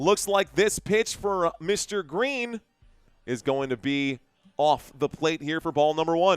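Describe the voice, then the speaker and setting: In an unremarkable speaking voice, a man with a fairly high pitch talks at a fairly slow pace. His intonation is lively, and the sound is dry and close with no echo. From United States. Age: 30s. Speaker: live stream sports commentator. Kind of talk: casual chat with viewers; live play-by-play commentary. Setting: live online stream.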